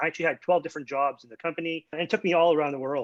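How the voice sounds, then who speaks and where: A man speaks with a Canadian accent at a fairly high pitch. His pitch variation is ordinary. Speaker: startup founder and former tech executive. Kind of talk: panel discussion.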